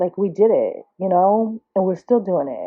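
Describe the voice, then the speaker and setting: With a New Jersey accent, a woman speaks at a moderate pace with ordinary pitch variation. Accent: New Jersey American. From Trenton, New Jersey, US. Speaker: artist. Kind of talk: personal monologue. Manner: halting, self-admitted stuttering.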